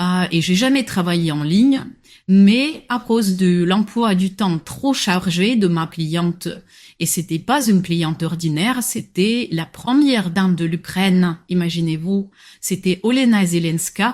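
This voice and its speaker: On a very clean recording with a silent background, a woman speaks very slowly at a medium pitch with ordinary pitch variation. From Morocco, near Agadir. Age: 20s. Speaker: personal shopper. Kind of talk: interview. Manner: hesitant, frequent filler sounds.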